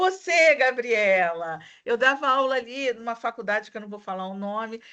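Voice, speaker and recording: In a Rio de Janeiro accent, a woman with a fairly high voice speaks at a fairly slow pace against a quiet background. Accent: carioca. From Rio de Janeiro, Brazil. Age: 50s. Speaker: university lecturer. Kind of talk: online class discussion.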